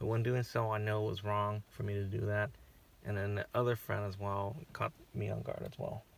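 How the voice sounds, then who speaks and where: This man's fairly low voice is monotone and flat. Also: moderate pace. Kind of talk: casual personal channel update. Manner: stuttering, halting.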